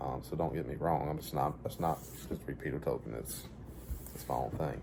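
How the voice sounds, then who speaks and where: There is audible room echo as a man with a very deep, low pitch talks at a fairly quick pace with fairly even intonation. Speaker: author reading stories. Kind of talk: casual talk about his own book. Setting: at home, dining table. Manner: halting, stammering.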